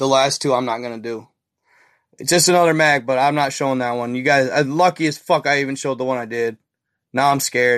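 A man talks at a fairly quick pace with an animated tone and medium pitch. The background is quiet. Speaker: livestreamer. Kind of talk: casual livestream chat. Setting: live video stream. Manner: loud.

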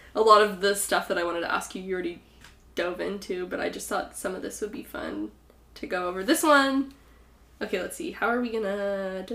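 In an American accent, a woman speaks at a fairly quick pace and a medium pitch, with a bright, sharp, animated tone and ordinary pitch variation. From California. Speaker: podcast host. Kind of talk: casual chat, interview with her grandmother. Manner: animated, chatty.

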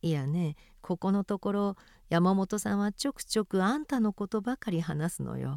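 Sound is dry and close, with no echo. A woman in a normal speaking voice talks at medium pitch and a moderate pace with lively intonation. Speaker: reader of a memoir. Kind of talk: reading aloud.

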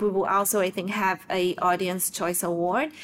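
A woman with a Portuguese accent, medium pitch and moderate pace. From southern Brazil. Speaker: nonprofit executive director. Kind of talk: interview.

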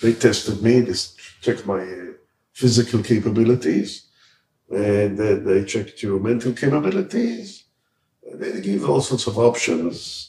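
A man with an American accent and a medium pitch speaks at a fairly slow pace in a dark, mellow tone with vocal fry, lively intonation, big swings in loudness, and long, frequent pauses. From Israel, raised partly in New York. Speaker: rabbi and outreach organization head. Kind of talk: life story interview.

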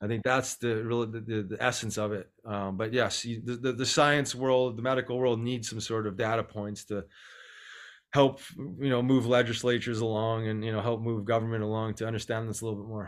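Speaking fairly quickly with a Canadian Prairies accent, a man holds a medium pitch in a monotone, flat intonation on a very clean recording with a silent background. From Canada, Winnipeg, Manitoba. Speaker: former pro hockey player, nonprofit co-founder. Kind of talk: interview.

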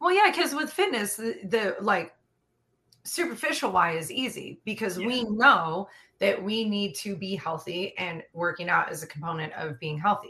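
Her pitch medium, a woman talks at a moderate pace with very wide pitch swings. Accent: Californian. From San Diego, California. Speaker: fitness trainer. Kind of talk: casual chat.

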